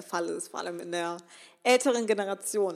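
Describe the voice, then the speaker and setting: A woman's enthusiastic, animated voice at a very fast pace. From western Germany (Remscheid). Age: 20s. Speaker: podcast host, self-employed social media entrepreneur. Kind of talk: solo motivational podcast talk.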